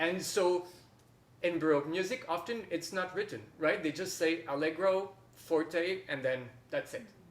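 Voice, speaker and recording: With a French accent, a man speaks at a moderate pace. His pitch is high. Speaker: harpist and workshop teacher. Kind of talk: masterclass teaching. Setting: workshop with online participants.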